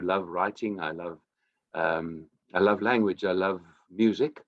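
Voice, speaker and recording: Very deep and low in pitch, a man speaks at a moderate pace with a South African accent. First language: Afrikaans. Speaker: singer-songwriter. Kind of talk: interview.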